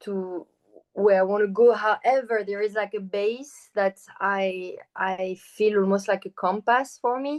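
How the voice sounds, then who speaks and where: The sound is dry and close, with no echo. A woman with a French accent speaks at a fairly slow pace in a medium pitch. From France. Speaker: choreographer and performer. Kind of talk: interview.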